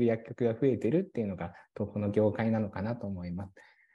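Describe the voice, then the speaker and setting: This man talks at a fairly quick pace in a dark, mellow tone. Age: 30s. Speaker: pharmacist and pharmacy business owner. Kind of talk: policy proposal presentation. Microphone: video call.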